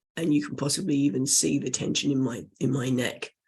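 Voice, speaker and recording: A raspy, put-on character voice from a man, medium in pitch, fairly quick and fairly even in intonation. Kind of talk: instructional voice demonstration.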